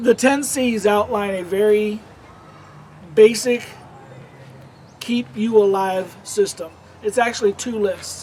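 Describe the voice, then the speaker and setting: In a high voice, a man speaks very slowly, with long, frequent pauses and ordinary pitch variation. Light background noise is audible. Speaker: outdoor gear and survival kit youtuber; presenter. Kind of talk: tutorial. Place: forest.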